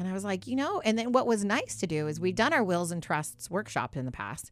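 With vocal fry and very wide pitch swings, a woman with a fairly low voice talks in an animated tone at a fairly quick pace. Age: 30s. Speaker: financial services staff and radio co-host. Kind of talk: casual radio talk show. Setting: radio studio.

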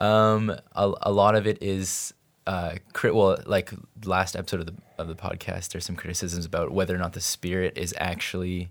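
On a very clean recording with a silent background, a man with a Canadian accent speaks at a moderate pace in a very deep, low voice. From Vancouver, Canada. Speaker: podcast producer. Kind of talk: casual chat.

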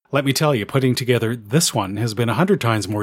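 A man uses a normal speaking voice with a Canadian accent at medium pitch and ordinary pitch variation, recorded very cleanly over a silent background with a dry, close sound and no echo. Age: 50s. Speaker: amateur radio podcaster. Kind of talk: scripted narration.

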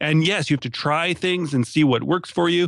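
The speech moves at a fairly quick pace with ordinary pitch variation. The sound is dry and close, with no echo. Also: man. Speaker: podcaster. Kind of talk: casual interview chat.

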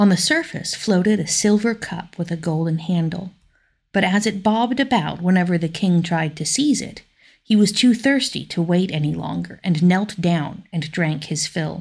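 The voice has a calm tone and sounds somewhat breathy. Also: woman, fairly low pitch for a woman, ordinary pitch variation, moderate pace. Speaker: listener narrator. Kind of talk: folk tale narration, read aloud like a bedtime story. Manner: measured, storytelling pace, calm.

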